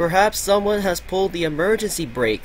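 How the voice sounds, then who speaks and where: A man puts on a character voice, pitched high and delivered at a fairly quick pace. Clear background noise runs under the recording. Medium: read story.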